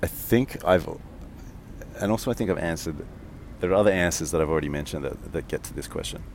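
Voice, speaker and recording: With an Australian accent, a man with a very deep, low pitch speaks at a very fast pace broken by long, frequent pauses, over noticeable background noise. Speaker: podcast host, strategy teacher. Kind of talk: solo walking monologue. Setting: outdoors in a park, walking. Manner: monotone; mumbles a bit.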